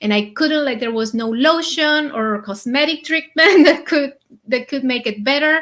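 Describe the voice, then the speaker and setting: The woman has a high pitch and lively intonation. She speaks at a moderate pace with a non-native accent. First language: not English. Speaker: conscious eating coach. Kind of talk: interview.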